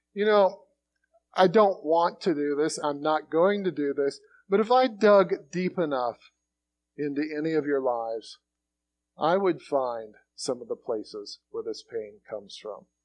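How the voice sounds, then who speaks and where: A man speaks at a fairly slow pace in a fairly high pitch. His intonation is lively. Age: 60s. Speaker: preacher. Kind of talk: sermon. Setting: church.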